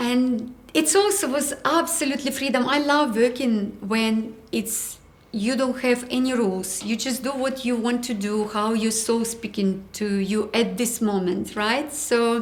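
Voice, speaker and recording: Speaking with a non-native accent and a fairly high pitch, a woman moves at a fairly slow pace with hardly any pauses and ordinary pitch variation. Noticeable background noise and audible room echo surround her voice. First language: not English. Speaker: ceramic artist. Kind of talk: interview.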